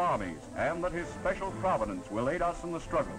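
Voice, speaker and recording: With music in the background, the voice moves at a moderate pace with lively intonation. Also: man. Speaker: newsreel narrator. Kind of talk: wartime newsreel narration.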